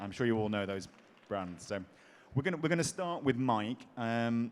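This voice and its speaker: Lively in intonation, a man with an English accent talks at a moderate pace and medium pitch. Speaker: panel moderator. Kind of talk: conference panel moderation.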